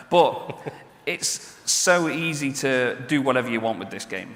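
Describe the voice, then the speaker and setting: A man speaks with ordinary pitch variation, his voice carrying audible room echo over noticeable background noise. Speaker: game player and presenter at expo. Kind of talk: stage presentation. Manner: animated.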